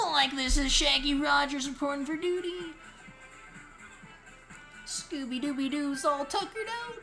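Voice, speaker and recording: Clear music plays in the background as a high-pitched put-on character voice moves at a moderate pace with long, frequent pauses. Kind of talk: casual. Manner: goofy, sleepy.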